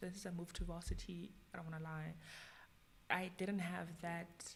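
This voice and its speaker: Somewhat breathy and delivered at a moderate pace, the voice holds a monotone, flat intonation against audible room echo. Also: woman, fairly low pitch for a woman. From South Africa, Tembisa township in Johannesburg. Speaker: content creator. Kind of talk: casual interview chat.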